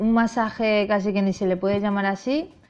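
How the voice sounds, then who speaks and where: The speech goes at a moderate pace. Faint music plays in the background. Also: woman. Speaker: fitness vlogger. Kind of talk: tutorial advice talk. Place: home room.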